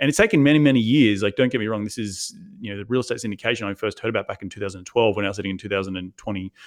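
Speaking in a fairly low pitch with an Australian accent, a man shows ordinary pitch variation. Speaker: real estate investor. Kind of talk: interview.

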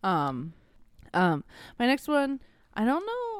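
A woman is heard in a dry, close sound with no echo. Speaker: podcast co-host. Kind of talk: casual chat. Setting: bedroom.

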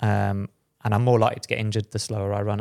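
In a very clean recording with a silent background, a man with a British accent talks very fast at a fairly low pitch. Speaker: podcast host, former pro runner. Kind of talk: casual chat. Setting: studio.

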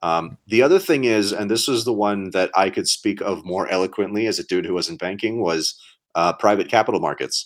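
A man with a normal speaking voice talks at a fairly quick pace and a fairly low pitch with ordinary variation, recorded very cleanly against a silent background. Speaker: podcast co-host, startup investing talk. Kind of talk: casual chat.

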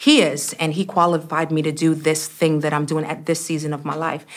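Here is a woman with a normal speaking voice. She has an American accent and a fairly low pitch. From US Northeast (Brooklyn, New York). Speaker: church executive and speaker. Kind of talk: interview.

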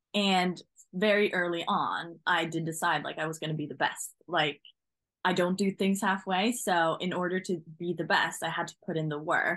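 A woman with a Norwegian accent, a fairly low pitch, fairly even intonation and a moderate pace. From Norway. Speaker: driving instructor. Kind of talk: casual chat.

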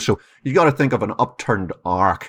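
A man with an Irish accent against a quiet background. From Ireland. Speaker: keynote speaker and author. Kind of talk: interview.

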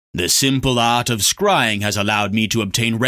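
Simply a natural reading voice.

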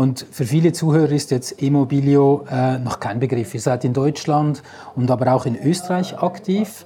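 Noticeable background noise runs beneath a man's voice. He speaks at a fairly slow pace and a fairly high pitch. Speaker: sales trainer and podcast host. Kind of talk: interview. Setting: on location at an event venue.

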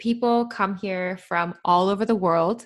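A woman with a western Canadian accent speaks at a fairly low pitch against a quiet background. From Canada, British Columbia. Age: 20s. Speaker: van lifer and podcaster. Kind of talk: casual interview chat.

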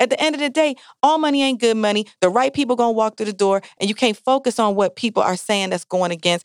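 An animated woman's voice at a fairly quick pace with very wide pitch swings, dry and close with no echo, on a very clean recording with a silent background. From Jamaican family. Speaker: bar owner and radio personality. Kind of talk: casual interview chat. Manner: animated, laughs often.

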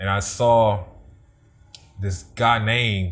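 Pitch shifts in an ordinary way here. There is a somewhat breathy quality to the voice. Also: man. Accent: American. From Germany, military family. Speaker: radio/TV personality and video producer. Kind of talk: casual interview chat.

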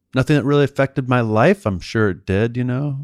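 An ordinary speaking voice from a man with an American accent, fairly quick pace and ordinary pitch variation, on a very clean recording with a silent background and a dry, close sound with no echo. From US East Coast, outside Washington, D.C. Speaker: financial planner. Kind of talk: interview.

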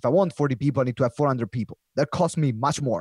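A man's fairly high voice, very fast, with ordinary pitch variation and a dry, close sound free of echo. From Italy. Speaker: professional speaker and community founder. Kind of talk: casual interview chat. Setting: video call.

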